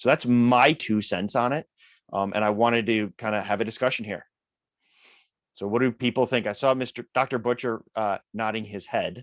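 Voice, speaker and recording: With a Midwestern US accent, a man speaks at a moderate pace and medium pitch with fairly even intonation, the sound dry and close with no echo. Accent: Midwest US. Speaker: open-source software maintainer. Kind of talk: technical meeting discussion.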